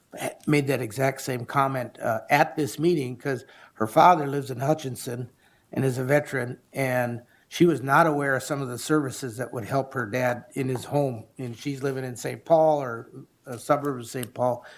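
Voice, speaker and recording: A man talks in a normal speaking voice at a medium pitch and moderate pace. His intonation is fairly even, and the recording is very clean with a silent background. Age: 60s. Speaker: county commissioner. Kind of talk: public meeting discussion. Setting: county board meeting.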